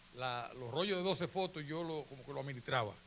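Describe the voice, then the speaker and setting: A man speaks at a moderate pace in a bright, sharp tone, his pitch fairly high with ordinary variation. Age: 70s. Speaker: photographer. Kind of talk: conference talk. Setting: auditorium with audience. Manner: conversational.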